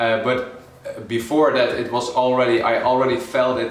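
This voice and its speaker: In a Dutch accent, a man speaks at medium pitch with fairly even intonation, with audible room echo and noticeable background noise. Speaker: calisthenics coach. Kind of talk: vlog talk to camera. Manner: halting, many fillers.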